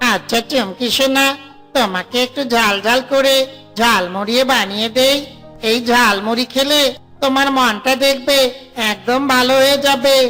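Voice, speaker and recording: Over clear music in the background, a cartoonish, female-sounding character voice speaks at a fairly high pitch and a fairly slow pace. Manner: eager, naive, sing-song.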